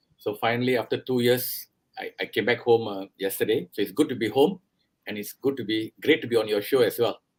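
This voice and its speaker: In a Singaporean accent, a man talks at a fairly quick pace and medium pitch with ordinary pitch variation. The sound is dry and close with no echo. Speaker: airline and airport executive. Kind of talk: interview.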